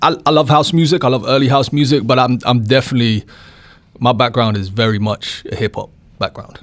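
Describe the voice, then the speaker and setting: A man with a London accent speaks at a fairly quick pace, his pitch varying in an ordinary way. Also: medium pitch for a man. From born in Bristol, raised in London.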